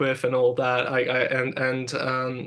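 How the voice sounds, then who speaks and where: The speaker is a man. His pitch is medium. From Hungary. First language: Hungarian. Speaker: music producer and engineer. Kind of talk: interview. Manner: halting, many repetitions and fillers.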